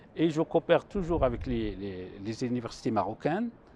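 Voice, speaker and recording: In a dark, mellow tone, this man delivers his words at a medium speed. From Morocco, Chaouia region (Benslimane). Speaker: mathematics professor. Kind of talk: TV interview, explaining mathematics. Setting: TV studio on a university campus. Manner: hesitant, with fillers and restarts.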